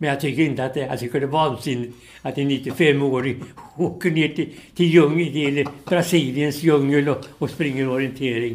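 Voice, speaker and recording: A man with a fairly high pitch speaks at a moderate pace, his intonation fairly even. Room echo is audible. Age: 80s+. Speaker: retired sports journalist and veteran orienteer. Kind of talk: interview. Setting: in person at his home. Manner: halting, repeats words.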